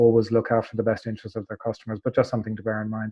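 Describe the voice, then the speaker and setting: A man speaks at a medium pitch in an Irish accent. His intonation is monotone and flat. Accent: Irish, held onto. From Ireland. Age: 40s. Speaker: hotel tech company executive. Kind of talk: webinar panel discussion. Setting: online webinar. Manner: halting, many fillers.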